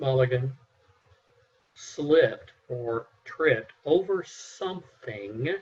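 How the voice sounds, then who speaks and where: His voice is somewhat breathy. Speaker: mock juror. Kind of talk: jury deliberation.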